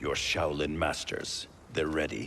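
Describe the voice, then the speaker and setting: A man's put-on character voice, very deep and low, stern in tone, at a fairly slow pace, with clear background noise. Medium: video game. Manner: terse, stern.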